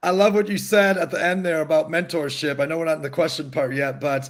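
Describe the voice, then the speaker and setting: A man with a fairly high pitch speaks in an ordinary speaking voice. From Michigan. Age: 40s. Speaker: entrepreneur and live show host. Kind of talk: live interview show.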